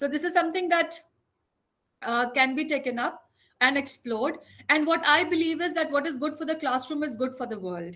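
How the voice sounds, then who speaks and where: In a raised, projected voice with a bright, sharp tone, a woman speaks at a fairly quick pace with a high pitch and ordinary pitch variation. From India. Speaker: education speaker. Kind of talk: online lecture. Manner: fast.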